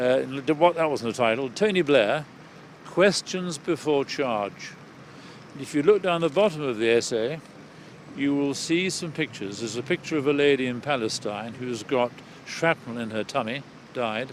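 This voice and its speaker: A man with a fairly high pitch talks at a moderate pace with lively intonation and long, frequent pauses. Noticeable background noise is present. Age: 70s. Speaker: retired surgeon and campaigner. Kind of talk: interview. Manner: hesitant, repeats words.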